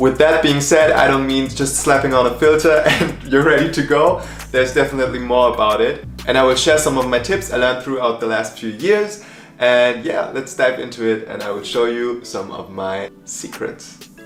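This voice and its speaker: Music plays behind a man with a non-native accent who speaks at medium pitch and a moderate pace, with ordinary pitch variation and audible room echo. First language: not English. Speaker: content creator. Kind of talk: tutorial.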